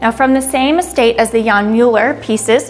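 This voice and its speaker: Over music in the background, a woman with a high pitch speaks at a fairly slow pace with fairly even intonation. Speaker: auction house art specialist presenting lots. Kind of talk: art lot presentation, informative.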